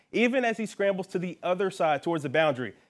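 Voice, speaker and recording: With lively intonation and a fairly quick pace, a man talks in a plain, everyday voice, captured in a very clean recording over a silent background. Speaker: sports anchor and reporter. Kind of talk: sports news report.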